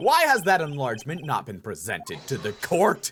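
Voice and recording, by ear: In a put-on character voice, a man swings very widely in pitch. His fairly bright tone has a slightly husky edge. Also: medium pitch for a man, moderate pace.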